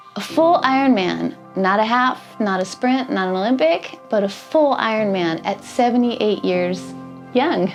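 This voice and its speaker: A woman's medium-pitched voice, fairly slow and lively in intonation, with music in the background. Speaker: documentary narrator and interviewer. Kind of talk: documentary narration.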